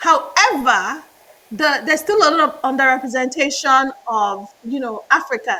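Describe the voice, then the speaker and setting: A woman's raised, projected voice, high in pitch, at a fairly slow pace. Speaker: management consultant, MBA graduate. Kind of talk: interview.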